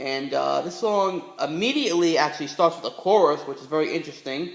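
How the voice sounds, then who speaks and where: Using ordinary pitch variation, a man with a high pitch talks at a moderate pace. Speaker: music reviewer. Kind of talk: casual talk to camera. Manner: stuttering, hesitant.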